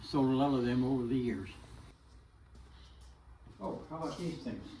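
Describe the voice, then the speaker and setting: A man speaks at a medium pitch with ordinary variation. Noticeable noise sits in the background. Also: moderate pace. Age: 80s+. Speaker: woodworker. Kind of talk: casual workshop tour talk. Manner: hesitant, halting.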